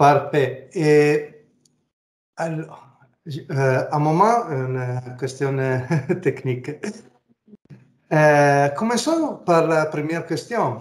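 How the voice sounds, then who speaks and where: At a very slow pace with long, frequent pauses, a man with a fairly high voice speaks with ordinary pitch variation. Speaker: interviewer. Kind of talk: interview. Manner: halting, many hesitations.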